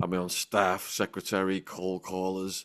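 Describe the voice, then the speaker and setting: A man speaks with a northern English accent. The recording is very clean, with a silent background. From northern England, between Liverpool and Manchester. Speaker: former drug trafficker turned author and YouTuber. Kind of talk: podcast interview.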